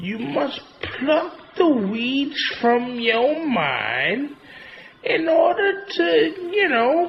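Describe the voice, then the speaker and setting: A put-on character voice with a high pitch moves at a very slow pace. Long, frequent pauses break up the speech. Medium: machinima. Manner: drawling, folksy.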